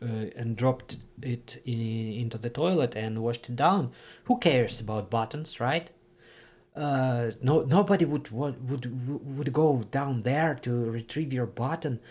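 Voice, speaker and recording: At a fairly slow pace, this speaker talks in a Ukrainian accent on a very clean recording with a silent background. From Ukraine. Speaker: streamer. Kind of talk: casual livestream chat. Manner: halting, many fillers and restarts.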